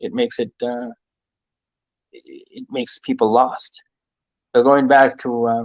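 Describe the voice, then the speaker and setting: A man with a Maritime Canadian accent speaks at a fairly slow pace, taking long, frequent pauses, in a dry, close recording with no echo. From eastern New Brunswick, Canada (Mi'kmaq community). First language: Mi'kmaq. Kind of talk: interview. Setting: live-streamed online conversation. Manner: hesitant, many fillers.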